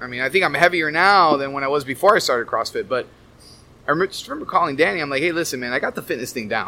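A man speaks at a very fast pace with a bright, sharp tone, a fairly high pitch, and ordinary pitch variation. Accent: American. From Miami, US. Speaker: therapist and wellness coach. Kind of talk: casual chat.

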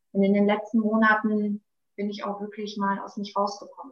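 Here is a normal speaking voice. It moves at a fairly quick pace. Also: woman. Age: 30s. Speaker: beautician. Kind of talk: interview. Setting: podcast interview.

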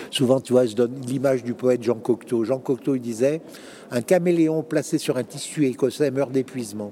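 A man has an ordinary speaking voice, medium pitch, ordinary pitch variation, and a moderate pace. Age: 60s. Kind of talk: interview. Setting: conference venue.

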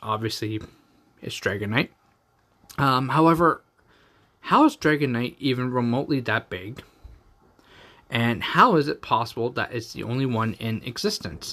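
A man with a Canadian accent, medium-pitched, bright and sharp in tone, with long, frequent pauses. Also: ordinary pitch variation, moderate pace, very clean recording, silent background. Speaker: podcast host reviewing anime episodes. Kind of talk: casual solo commentary.

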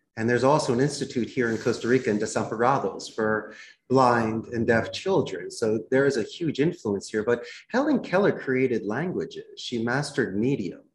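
A man's somewhat breathy voice at medium pitch and moderate pace, over a quiet background. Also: ordinary pitch variation. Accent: American. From US Northeast, Philadelphia. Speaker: call center CEO. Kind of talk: podcast interview.

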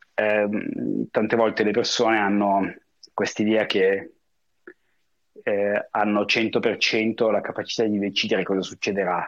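Fairly low and monotone, a man talks at a fairly slow pace with very even loudness and long, frequent pauses. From northern Italy, Lake Como. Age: 40s. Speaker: expat professional. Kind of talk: interview. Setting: remote call.

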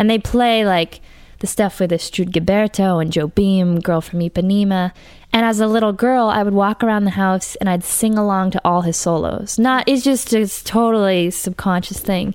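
In a plain, everyday voice, a woman with an American accent talks at a moderate pace, keeping very even loudness and fairly even intonation. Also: medium pitch for a woman. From Massachusetts (Brookline, near Boston). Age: 20s. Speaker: jazz saxophonist and singer. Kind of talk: casual interview chat.

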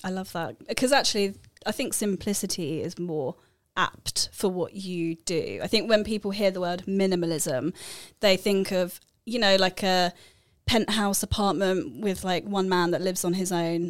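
Recorded very cleanly against a silent background, a woman with an unremarkable speaking voice talks at a moderate pace with ordinary pitch variation. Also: medium pitch for a woman. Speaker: podcast co-host. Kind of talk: casual interview conversation.

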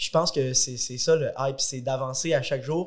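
A man with a normal speaking voice talks at a fairly quick pace. His pitch varies in an ordinary way. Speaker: young entrepreneur and fitness competitor. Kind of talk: casual podcast interview.

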